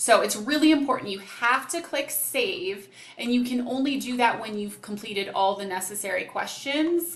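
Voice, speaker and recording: Her pitch fairly high and ordinarily varied, a woman speaks with audible echo from the room. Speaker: program coordinator. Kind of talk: tutorial.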